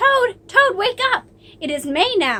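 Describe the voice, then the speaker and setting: Putting on a squeaky character voice, a woman reaches an extremely high pitch with very wide swings, moving at a fairly slow pace. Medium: read story.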